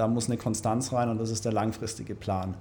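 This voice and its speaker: With monotone, flat intonation, a man speaks in a dark, mellow tone. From Ulm, Swabia, Germany. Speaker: winery manager. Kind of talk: casual interview.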